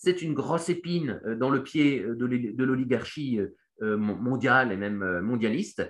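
Talking at a very slow pace, a man at medium pitch uses lively intonation. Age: 30s. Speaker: economist and investment newsletter founder. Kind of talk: Q&A explainer. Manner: hesitant, many fillers and repetitions.

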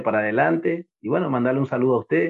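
Lively intonation marks a man's speech, delivered at a very fast pace. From Corrientes, northeastern Argentina. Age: 30s. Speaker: lower-division footballer. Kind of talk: casual interview.

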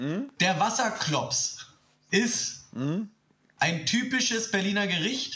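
A man with a high pitch uses a raised, projected voice, bright and sharp in tone, with lively intonation at a very slow pace broken by long, frequent pauses. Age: 30s. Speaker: podcast guest. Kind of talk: casual chat. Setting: remote call.

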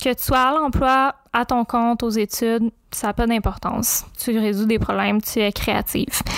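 Hardly any pauses break up this woman's speech. Her pitch is fairly high, her intonation fairly even and her loudness very even. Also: fairly slow pace, dry, close sound with no echo. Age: 20s. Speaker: podcast host and creativity coach. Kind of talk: podcast trailer monologue. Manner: casual, conversational.

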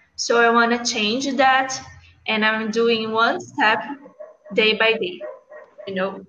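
With a Brazilian accent, a woman talks at a very slow pace and a fairly high pitch, leaving long, frequent pauses. Her intonation is fairly even, and audible room echo surrounds her. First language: Portuguese. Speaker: English learner. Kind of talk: conversation practice. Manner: halting.

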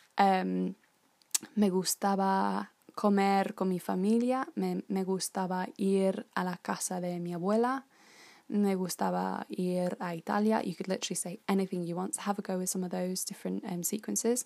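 A woman speaks at a moderate pace in a dark, mellow tone of medium pitch. Her intonation stays fairly even. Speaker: language teacher. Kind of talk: tutorial. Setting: podcast recording. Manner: informal, friendly, with fillers.

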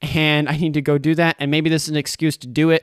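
A man with an American accent and a fairly high pitch talks at a very fast pace on a very clean recording with a silent background. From Idaho. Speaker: solo local news podcast host. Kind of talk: casual news podcast with commentary. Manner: casual, unscripted.

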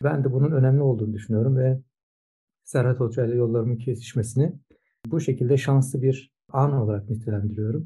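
This man's voice is somewhat breathy and sits at a medium pitch. His intonation stays fairly even. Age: 50s. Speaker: swimming coach and sports science professor. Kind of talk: interview. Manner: hesitant, many filler sounds.

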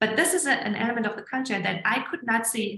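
A woman with a German accent talks at a fairly quick pace. Her voice is fairly high, with ordinary pitch variation. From southern Germany. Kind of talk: casual interview.

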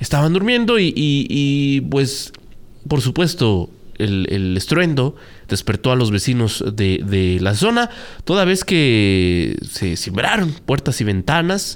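A man with medium pitch speaks at a very slow pace, his pitch swinging very widely while his loudness stays very even. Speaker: radio news anchor. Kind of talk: news show chat.

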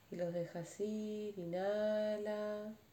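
A woman speaks at a fairly high pitch over noticeable background noise. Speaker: meditation teacher. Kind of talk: guided meditation. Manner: slow; speaking louder, voice directed away.

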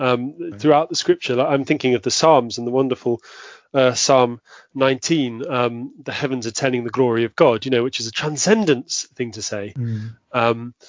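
A man with a southern English accent talks at a medium pitch and a moderate pace with fairly even intonation. His loudness swings widely. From southwest London, England. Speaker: Anglican priest. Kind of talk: casual interview. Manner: halting, many fillers.

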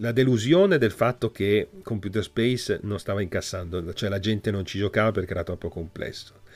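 This is a man with an unremarkable speaking voice, fairly low in pitch with ordinary pitch variation. The recording is very clean, with a silent background. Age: 50s. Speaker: video game journalist and historian. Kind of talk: casual interview.

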